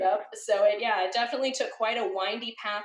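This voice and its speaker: A woman talks at a fairly quick pace. Her tone is animated. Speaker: web design educator. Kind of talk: interview. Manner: fast.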